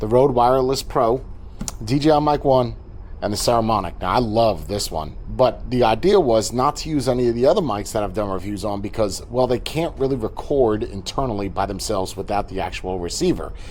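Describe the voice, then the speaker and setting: Here is a man with a normal speaking voice at a medium pitch. He talks at a fairly quick pace. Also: ordinary pitch variation. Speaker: tech reviewer. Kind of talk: product review.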